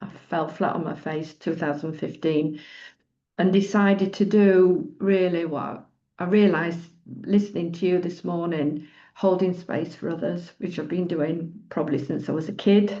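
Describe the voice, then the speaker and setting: In a Yorkshire accent, a woman speaks at a moderate pace with a fairly low pitch and a dark, mellow tone. Her intonation is fairly even, and the background is quiet. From northern England, Doncaster, Yorkshire. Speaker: retreat leader and psychologist. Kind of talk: personal sharing in group circle. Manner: halting.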